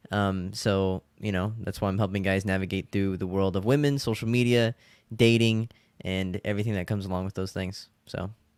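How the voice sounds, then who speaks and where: This man has an ordinary speaking voice, fairly low in pitch, with fairly even intonation and a fairly quick pace. The recording is very clean, with a silent background. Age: young. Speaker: dating coach content creator. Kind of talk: interview answers.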